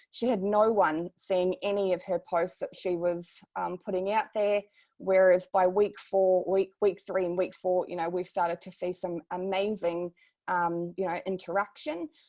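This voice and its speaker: Someone with a New Zealand accent speaks at a moderate pace in a dark, mellow tone, the sound dry and close with no echo. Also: woman, medium pitch for a woman, fairly even intonation. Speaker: social media marketing consultant. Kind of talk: webinar presentation.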